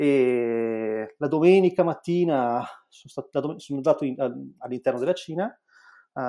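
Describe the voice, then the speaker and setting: Intonation rises and falls with liveliness as the man talks. His tone is dark and mellow. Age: 40s. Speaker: entrepreneur. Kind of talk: interview. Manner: halting.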